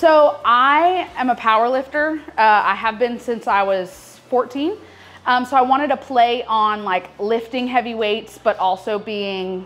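A woman speaks at a fairly slow pace in a high pitch. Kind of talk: interview answer. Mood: friendly, upbeat. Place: shop.

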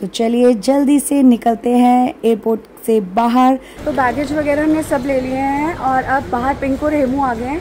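A woman speaks at a moderate pace with a high pitch and a dark, mellow tone. Her intonation stays fairly even over faint background noise.

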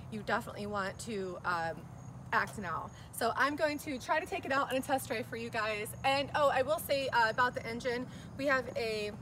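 With noticeable background noise behind her, a woman talks at a moderate pace in a high pitch with lively intonation. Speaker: presenter. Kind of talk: casual product walkaround. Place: street. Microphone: phone near.

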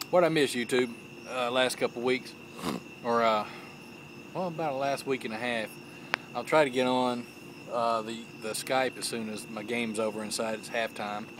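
Moderate pacing with long, frequent pauses and ordinary pitch variation, in a dry sound with no echo and noticeable background noise. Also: man. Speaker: pipe hobbyist vlogger. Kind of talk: casual vlog chat. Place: garden. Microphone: phone near.

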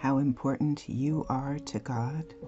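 A woman's gentle tone at a very slow pace, with music in the background. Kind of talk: ASMR-style guided meditation with affirmations. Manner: quiet, gentle, slow, encouraging.

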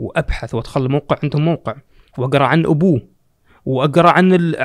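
A fairly quick pace against a quiet background. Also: man. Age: young. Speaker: podcaster and marketing executive; podcaster. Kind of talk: casual chat. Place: studio. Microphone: studio mic.

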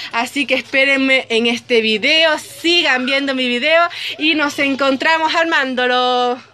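A woman projects a raised, high voice with a bright, sharp tone and very even loudness at a fairly slow pace. There is light background noise. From Chile. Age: 20s. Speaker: student making a video tutorial. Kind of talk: tutorial. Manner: animated. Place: home room. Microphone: phone near.

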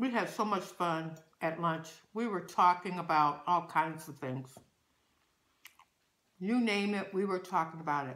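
A woman with a fairly low pitch talks at a fairly slow pace with long, frequent pauses. Her pitch variation is ordinary. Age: 60s. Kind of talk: casual mukbang talk to camera.

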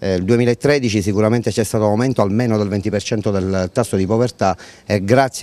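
With a dark, mellow tone, a man speaks at a fairly low pitch and a moderate pace, his intonation fairly even. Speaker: charity organization head. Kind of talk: news interview. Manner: hesitant with fillers. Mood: earnest, serious. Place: street. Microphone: handheld.

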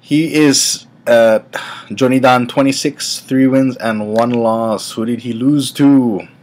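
Over faint music in the background, a man at medium pitch speaks at a very slow pace with fairly even intonation. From Hawaii. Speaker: sumo vlogger. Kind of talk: casual vlog commentary. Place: home room. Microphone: webcam.

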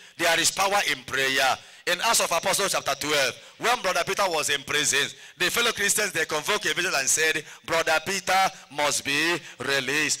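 A man speaks with a high pitch, ordinary pitch variation and very even loudness. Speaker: priest preacher. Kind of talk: sermon. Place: open country. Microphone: handheld.

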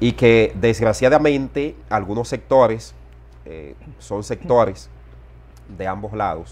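The speaker talks at a very slow pace with vocal fry and long, frequent pauses. The loudness swings widely. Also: man, fairly low pitch for a man. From Dominican Republic, Dajabón border area; Dominican Republic. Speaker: journalist and political analyst; journalist, political analyst. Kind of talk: interview. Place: home room. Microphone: lapel.

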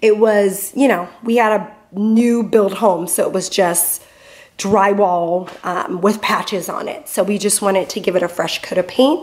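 Speaking fairly slowly, a woman lets her pitch vary in an ordinary way. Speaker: home vlogger. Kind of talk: casual vlog chat. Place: garage. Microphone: phone near.

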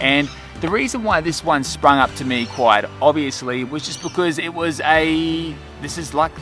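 Over clear background music, a man talks at a moderate pace with ordinary pitch variation in a dry recording with no echo. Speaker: dog vlogger. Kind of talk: casual vlog chat. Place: forest.

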